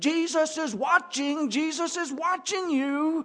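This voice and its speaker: In a put-on character voice, someone shouts at a high pitch and a fairly slow pace. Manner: annoying, repetitive shouting.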